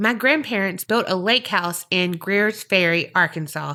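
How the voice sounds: The voice reads naturally. Its pitch rises and falls in an ordinary way.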